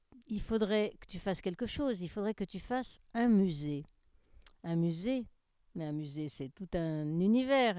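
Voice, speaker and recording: On a very clean recording with a silent background, a woman speaks at a medium pitch in a dark, mellow tone. Her pace is very slow, her intonation lively and her loudness swings widely. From France, Seine-et-Marne. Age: 70s. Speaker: museum founder. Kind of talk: personal account.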